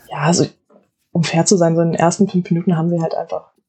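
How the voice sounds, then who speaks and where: A woman's fairly low, somewhat breathy voice. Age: 20s. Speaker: student and football player. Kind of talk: casual chat.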